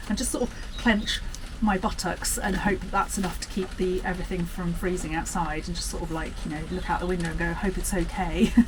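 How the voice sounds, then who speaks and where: Audible room echo and noticeable background noise surround a woman who talks fairly quickly. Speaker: gardening vlogger. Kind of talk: casual vlog to camera. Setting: outdoors in the garden. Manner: loud. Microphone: no microphone, camera mic.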